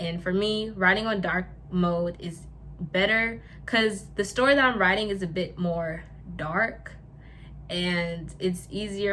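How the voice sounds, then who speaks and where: A woman speaks at a fairly slow pace, her pitch fairly low with ordinary pitch variation. Noticeable background noise and audible room echo are present. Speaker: lifestyle YouTuber. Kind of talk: casual vlog talk. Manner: halting, with stumbles and repeats.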